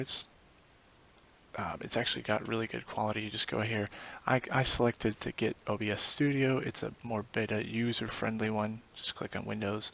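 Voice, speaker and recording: Here a man speaks quietly at a fairly low pitch. His intonation stays fairly even. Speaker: forex trader recording a screen tutorial. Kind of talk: screen-recorded tutorial. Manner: quiet, speaking low; halting, many fillers.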